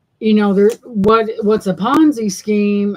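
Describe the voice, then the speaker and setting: Her pace is fairly slow, and this woman's pitch sits in the medium range. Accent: Southern US. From US South. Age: 60s. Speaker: thrift haul livestreamer. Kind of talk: casual livestream chat. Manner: rambling conversational.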